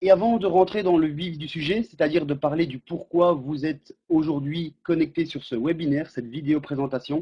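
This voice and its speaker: A man with an unremarkable speaking voice talks at a moderate pace in a fairly high register, with ordinary pitch variation, big swings in loudness and hardly any pauses. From French-speaking Belgium. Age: 30s. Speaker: network marketing presenter. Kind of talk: sales pitch. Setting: webinar.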